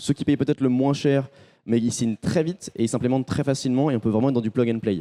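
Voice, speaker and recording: On a very clean, dry, close recording with a silent background and no echo, a man with a dark, mellow tone talks very fast at medium pitch, with ordinary pitch variation and very even loudness. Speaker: startup founder pitching. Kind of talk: startup pitch to investor. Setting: face-to-face at an event. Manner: energetic.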